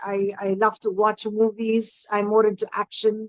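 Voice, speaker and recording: A woman speaks at a moderate pace with a fairly high pitch. The sound is dry and close, with no echo. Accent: Tamil. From northern India, Himachal Pradesh. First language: Tamil. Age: 50s. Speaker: educator and parenting coach. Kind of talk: panel discussion. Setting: live stream.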